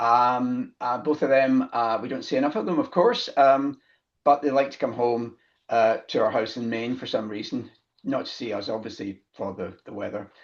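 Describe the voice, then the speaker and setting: A man with a Scottish accent, at a moderate pace and with ordinary pitch variation. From Scotland, Glasgow. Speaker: business founder, accountant. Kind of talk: interview conversation. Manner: halting, many fillers.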